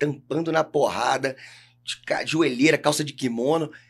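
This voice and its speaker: A man talks in an ordinary speaking voice. His pitch is fairly high and his intonation fairly even. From Brazil, Rio de Janeiro. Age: 40s. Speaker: jiu-jitsu coach. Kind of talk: podcast interview. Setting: studio. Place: studio. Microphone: studio mic.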